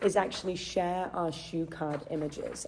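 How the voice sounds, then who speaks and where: A woman with a strong English accent speaks at a fairly slow pace. Her pitch is medium. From England, Chester. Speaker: charity philanthropy manager. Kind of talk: live stream talk. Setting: Facebook Live video. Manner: hesitant, many fillers.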